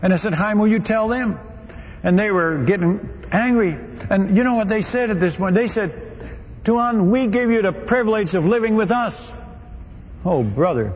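Over noticeable background noise, a man with a high voice talks at a moderate pace with ordinary pitch variation and long, frequent pauses. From Netherlands. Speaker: missionary preacher. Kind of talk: sermon. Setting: stage with audience. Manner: animated storytelling.

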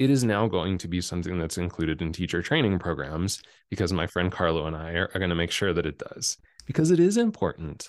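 Very fast speech from a man with a very deep, low pitch and ordinary pitch variation, over a quiet background. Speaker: breathwork and speaking coach, former hairdresser. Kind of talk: interview conversation. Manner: sometimes drops low into vocal fry.

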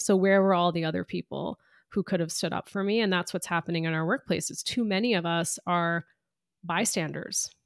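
A woman with a fairly low pitch and an unremarkable speaking voice is heard in a very clean, dry, close recording with no echo and a silent background. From US, Indian immigrant family. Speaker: author and diversity consultant. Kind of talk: interview.

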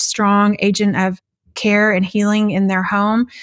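A woman with a Texan accent speaks at a fairly slow pace. The sound is dry and close with no echo, on a very clean recording with a silent background. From West Texas. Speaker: nonprofit founder. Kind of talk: interview.

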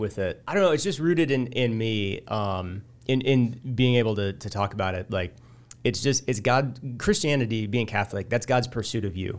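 With a Midwestern American accent, a man speaks at a moderate pace and medium pitch with ordinary pitch variation, in a very clean recording with a silent background. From central Illinois. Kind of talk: casual interview, personal testimony.

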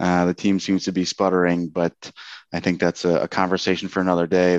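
Over a quiet background, a man with an American accent speaks in a very deep, low pitch, the sound dry and close with no echo. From US Northeast, Central New Jersey. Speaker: hockey jersey seller. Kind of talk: casual interview.

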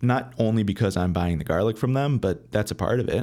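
An ordinary speaking voice with lively intonation at a moderate pace, in a very clean recording with a silent background. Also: man. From Michigan, Metro Detroit. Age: 20s. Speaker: chef. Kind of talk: casual interview.

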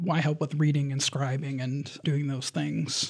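Somewhat breathy, this man talks with an American accent and ordinary pitch variation. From Michigan, Lansing area. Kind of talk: interview. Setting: studio.

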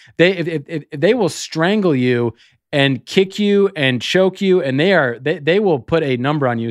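A man with an American accent has a normal speaking voice, fairly high in pitch. He talks at a moderate pace with lively intonation. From US Midwest. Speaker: sports betting podcaster. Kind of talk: casual chat.

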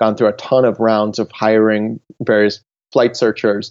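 A man with an American accent, medium pitch and moderate pace, in a dry, close sound with no echo against a quiet background. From Ohio, US Midwest. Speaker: travel business founder, former journalist. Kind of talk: interview. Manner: halting, frequent repetitions and fillers.

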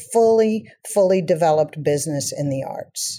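A woman with a medium-pitched, dark and mellow voice speaks with lively intonation on a very clean recording over a silent background. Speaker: potter and studio owner. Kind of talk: interview. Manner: animated.

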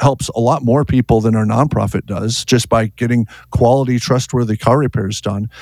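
In a very clean recording with a silent background, a man with an American accent and a plain, everyday voice talks at a medium pitch and a fairly quick pace. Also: dry, close sound with no echo. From US Upper Midwest, North Dakota. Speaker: auto repair shop owner. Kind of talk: interview.

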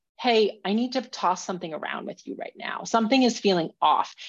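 An unremarkable speaking voice with an American accent at a moderate pace, over a quiet background. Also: woman. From Minnesota. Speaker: professional climber and author. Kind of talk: interview.

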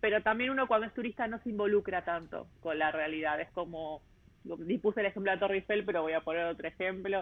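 With a Rioplatense accent, the speaker talks at a very fast pace with ordinary pitch variation. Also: woman, medium pitch for a woman. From Buenos Aires, Argentina. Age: 30s. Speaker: travel podcaster. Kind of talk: interview conversation. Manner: hesitant, many fillers.

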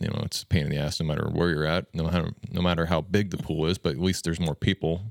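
On a very clean recording with a silent background, a man with an American accent speaks in a very deep, low voice with fairly even intonation. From Nebraska, US Midwest. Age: 30s. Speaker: agricultural tech company co-founder. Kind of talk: casual chat.

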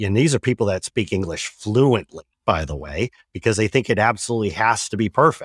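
Heard in a very clean recording with a silent background, a man with an ordinary speaking voice speaks at fairly low pitch, the sound dry and close with no echo. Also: fairly quick pace. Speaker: podcast host. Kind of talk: interview.

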